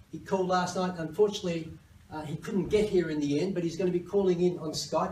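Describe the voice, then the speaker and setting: Very fast male speech, high-pitched for a man, with fairly even intonation and audible room echo. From Australia. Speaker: company CEO. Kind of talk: conference presentation.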